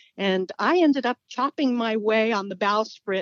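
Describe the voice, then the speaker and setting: A woman with an American accent uses a normal speaking voice, fairly high in pitch, at a moderate pace with ordinary pitch variation. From California. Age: 60s. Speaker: small business owner and author. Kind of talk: interview.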